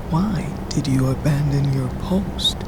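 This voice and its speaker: Loud noise fills the background. A put-on character voice speaks at a fairly slow pace. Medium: audio drama. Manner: level, calm, honeyed crooning.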